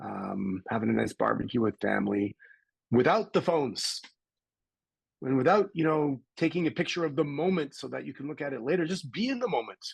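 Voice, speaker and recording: Vocal fry runs through this man's fairly high voice. He talks at a fairly quick pace with very wide pitch swings. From Canada. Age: 60s. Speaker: personal development coach and entrepreneur. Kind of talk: interview.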